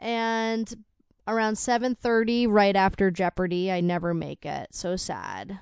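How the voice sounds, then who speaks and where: An unremarkable speaking voice talks at a fairly slow pace with fairly even intonation. The background is quiet. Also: woman, medium pitch for a woman. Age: 20s. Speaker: podcast co-host, spouse. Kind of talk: casual chat.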